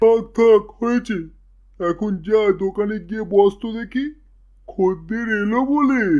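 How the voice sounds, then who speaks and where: At a fairly slow pace, a man uses a cartoonish character voice pitched high with fairly even intonation. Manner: bossy, scolding.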